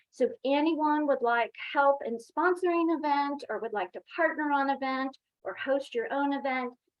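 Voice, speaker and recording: Her pitch moves with ordinary variation. The woman keeps a moderate pace. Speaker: university staff presenter. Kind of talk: workshop presentation.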